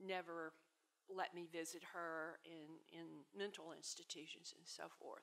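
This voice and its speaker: In a Southern US accent, a woman talks at a very slow pace in a fairly low pitch with fairly even intonation. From US South, Tupelo, Mississippi. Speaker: author and literary scholar. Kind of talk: panel discussion. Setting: stage with audience. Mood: somber, reflective. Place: hall. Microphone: podium.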